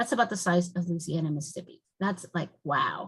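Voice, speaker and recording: Somewhat breathy, a woman speaks at a fairly quick pace. Her voice sits at medium pitch with ordinary variation. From Mexico (Mexico City). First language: Spanish. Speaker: naturalist trainer. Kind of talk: lecture. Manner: fast when excited.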